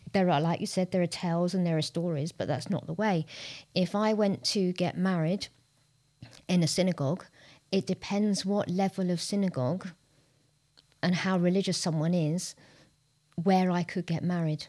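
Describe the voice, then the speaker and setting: In a London accent, a woman with a dark, mellow tone and a fairly low pitch speaks at a moderate pace with fairly even intonation and long, frequent pauses, on a very clean recording with a silent background. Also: very even loudness. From North London. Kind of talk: casual discussion.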